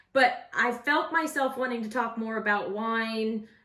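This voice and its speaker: Speaking at a fairly slow pace, a woman uses a fairly high pitch. Her intonation is lively and her tone animated. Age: 40s. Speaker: vlogger, former radio host. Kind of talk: casual vlog storytelling. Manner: loud.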